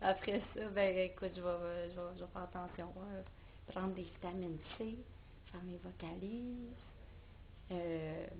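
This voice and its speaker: In a room with audible echo, a woman talks at a fairly slow pace, her medium-pitched voice keeping a fairly even intonation. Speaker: singer-songwriter. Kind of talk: interview. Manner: halting.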